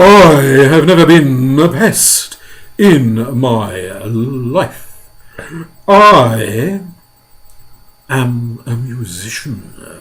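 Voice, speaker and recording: Using a put-on character voice at a medium pitch, a man speaks at a very slow pace with long, frequent pauses. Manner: scornful.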